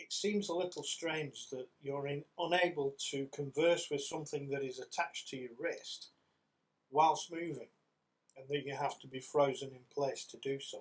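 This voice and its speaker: A man's fairly high voice at a moderate pace, a normal speaking voice with fairly even intonation and big swings in loudness. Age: 60s. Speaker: gaming youtuber. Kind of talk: video game review monologue.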